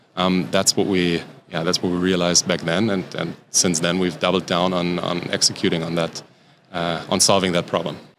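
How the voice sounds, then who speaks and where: At a moderate pace, a man with a German accent speaks at a very deep, low pitch. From Germany. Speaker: startup founder and CEO. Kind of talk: podcast interview. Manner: halting, many fillers.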